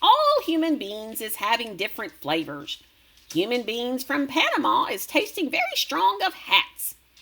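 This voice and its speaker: A woman performs a put-on character voice in a high pitch. She is loud. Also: moderate pace. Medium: read story. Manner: ungrammatical, word-mangling.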